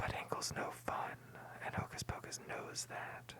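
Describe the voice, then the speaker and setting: Someone whispers in a playful tone at a fairly slow pace over noticeable background noise. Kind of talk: ASMR movie recap, whispered commentary. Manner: whispered, soft-spoken, playful and jokey.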